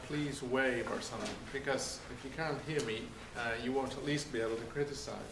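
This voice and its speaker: Fairly high male voice, some room echo audible, background noise noticeable. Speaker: refugee advocate speaker. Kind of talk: lecture. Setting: lecture room with audience. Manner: projecting loudly.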